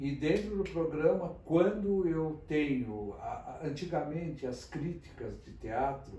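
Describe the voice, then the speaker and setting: A man with a fairly high pitch talks at a very slow pace, with ordinary pitch variation. There is audible room echo and noticeable background noise. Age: 70s. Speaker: theatre critic. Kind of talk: interview. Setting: office.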